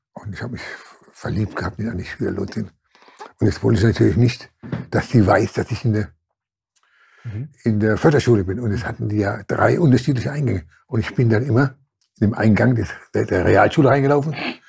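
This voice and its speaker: Fairly quick but broken by long, frequent pauses, a man's medium-pitched voice shows vocal fry and ordinary pitch variation. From Germany, Mannheim. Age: 70s. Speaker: former boxer and social worker. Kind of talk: interview. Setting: studio. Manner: halting, repetitive.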